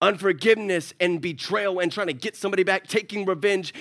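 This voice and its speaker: A man with a high-pitched voice talks in an animated tone at a moderate pace. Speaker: pastor. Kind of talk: sermon. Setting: church with congregation.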